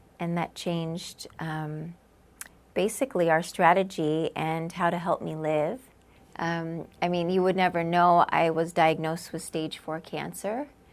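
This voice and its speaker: A woman with an American accent at a fairly low pitch, her intonation fairly even and her pace fairly slow. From Southern California. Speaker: cancer patient. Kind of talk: testimony.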